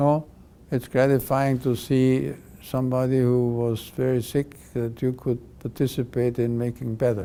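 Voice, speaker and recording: A man's dark, mellow tone, fairly slow and monotone with flat intonation. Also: medium pitch for a man. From Europe. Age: 80s+. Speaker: pediatric cardiac surgeon. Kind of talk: interview. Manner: halting.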